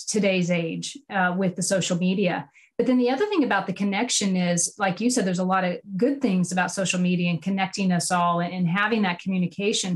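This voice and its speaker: Breathing a little into her medium-pitched voice, a woman talks at a very even loudness with hardly any pauses. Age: 40s. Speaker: podcast host. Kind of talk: interview podcast conversation.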